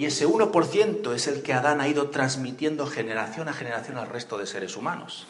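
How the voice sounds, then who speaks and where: A man's fairly high-pitched voice at a fairly quick pace, with lively intonation, hardly any pauses, and noticeable background noise. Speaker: preacher. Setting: church. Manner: animated, conversational, humorous asides, asks the crowd questions and waits for answers.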